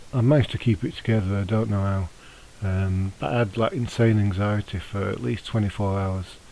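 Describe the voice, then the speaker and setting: Mumbling from a man with a fairly low pitch, a dark, mellow tone, a fairly quick pace and ordinary pitch variation. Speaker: vlogger. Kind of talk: personal testimony vlog. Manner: hesitant, many fillers.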